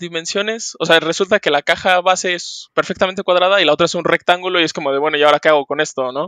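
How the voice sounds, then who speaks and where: A man talks very fast at a high pitch with a bright, sharp tone and ordinary pitch variation. The sound is dry and close with no echo, over a quiet background. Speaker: board game hobbyist. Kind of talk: casual chat.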